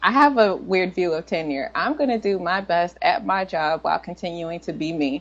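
A woman with an American accent, fairly low pitch, a moderate pace and hardly any pauses. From Washington, D.C. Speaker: computer science professor. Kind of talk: interview. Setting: remote call from a conference in New York. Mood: relaxed, smiling. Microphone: video call.

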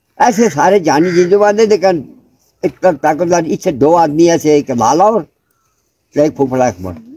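A man talks at a very slow pace, his intonation lively. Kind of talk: interview answer. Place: open country. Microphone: camera far.

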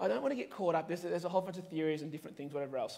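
This man has a fairly high pitch and an Australian accent. His intonation stays fairly even. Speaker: pastor; preacher. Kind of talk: sermon. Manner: casual, with many fillers. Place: church.

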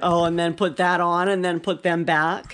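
Her fairly low-pitched voice has a fairly bright tone, as a woman speaks at a moderate pace with little pitch movement.

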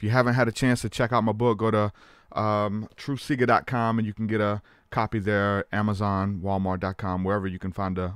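A man speaks in a plain, everyday voice, fairly low in pitch, at a moderate pace with fairly even intonation, the sound dry with no echo and the background quiet. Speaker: podcast host. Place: home room. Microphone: studio mic.

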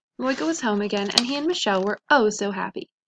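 Reading done in an unforced reading voice

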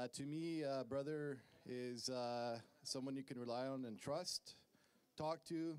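In a nervous, warm tone, a man speaks at a fairly slow pace with fairly even intonation. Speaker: best man giving a wedding toast. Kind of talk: best man speech, wedding toast with light teasing. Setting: wedding reception in front of guests. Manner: halting, filled with uhs and um, nervous laughter; warm, sincere and joking. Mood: sentimental, slightly nervous. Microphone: handheld.

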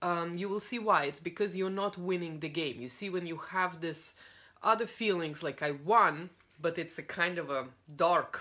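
A woman's voice with a bright, sharp tone sits fairly low in pitch, moving at a moderate pace with ordinary pitch variation. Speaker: coach. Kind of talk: casual talk to a coaching audience. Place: home room. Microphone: phone near.

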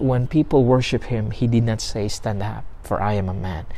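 A man talks at a moderate pace with ordinary pitch variation. His tone is dark and mellow, and somewhat breathy. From Philippines. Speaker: pastor. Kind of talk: sermon. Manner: halting. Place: garden. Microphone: lapel.

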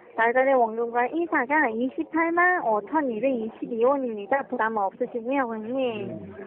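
The woman speaks with ordinary pitch variation. There is noticeable background noise. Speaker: phone scammer posing as loan agent. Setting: phone line. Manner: scripted sales pitch, drawn-out endings.

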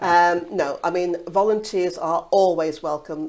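A woman talks very slowly, her pitch fairly low and her pitch variation ordinary. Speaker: hospice volunteer. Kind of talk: interview answer. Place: studio. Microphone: lapel.

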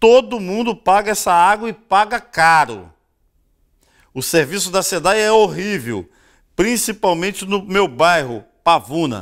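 A man with a Rio de Janeiro accent, high in pitch, at a fairly slow pace with lively intonation, against a quiet background. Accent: Rio de Janeiro Brazilian Portuguese. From Rio de Janeiro state, Brazil. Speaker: TV news show host. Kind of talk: TV news commentary. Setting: studio. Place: studio.

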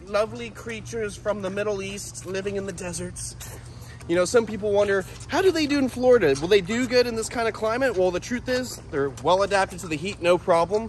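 A man's high-pitched voice over faint music in the background. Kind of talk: casual vlog chat. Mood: playful, amused. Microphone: phone near.

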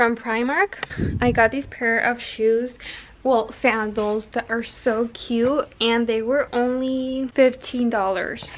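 Fairly even intonation at a fairly slow pace. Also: woman. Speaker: mother vlogger. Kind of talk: casual vlog chat.

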